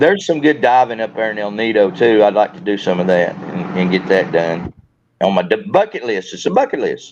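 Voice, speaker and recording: Fairly quick speech from a man in a Southern US accent. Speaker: YouTuber and Marine veteran. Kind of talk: casual chat. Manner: halting, repeats words.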